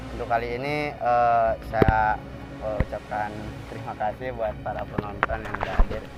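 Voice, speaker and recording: A man in a West Javanese accent at a moderate pace, with big swings in loudness and music in the background. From West Java (Sundanese). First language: Sundanese (speaking Indonesian). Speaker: spiritual healer and mystery channel host. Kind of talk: casual video narration. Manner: hesitant, many fillers.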